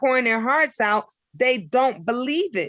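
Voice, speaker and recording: A woman's high-pitched voice at a fairly slow pace with lively intonation. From United States. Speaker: guest sharing relationship story. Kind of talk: casual interview chat.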